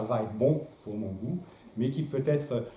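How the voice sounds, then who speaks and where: The room echo is audible as a man with a non-native accent speaks with ordinary pitch variation. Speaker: philosopher giving a talk. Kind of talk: lecture. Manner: hesitant, many filler sounds.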